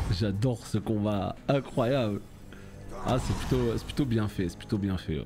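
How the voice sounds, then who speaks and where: Fairly low in pitch and fairly slow in pace, a man speaks with lively intonation over music in the background. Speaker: gaming youtuber. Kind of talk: let's play commentary. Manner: animated.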